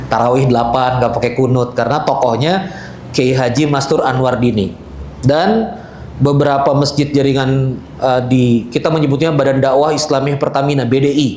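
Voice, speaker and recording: A man talks fairly quickly with very even loudness, with audible room echo and noticeable background noise around him. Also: medium pitch for a man, fairly even intonation. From Balikpapan, East Kalimantan, Indonesia (Banjar family). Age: 40s. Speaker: Islamic speaker. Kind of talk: religious talk. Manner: casual, conversational.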